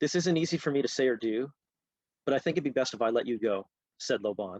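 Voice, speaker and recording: Against a quiet background, a man with a Canadian accent talks very fast, the sound dry and close with no echo. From Canada, Halifax, Nova Scotia. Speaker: author. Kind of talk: reading aloud.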